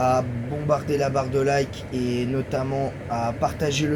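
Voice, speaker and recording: A man's monotone, flat intonation comes through audible room echo and noticeable background noise. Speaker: YouTuber football commentator. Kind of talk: casual video monologue. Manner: halting; soft-spoken.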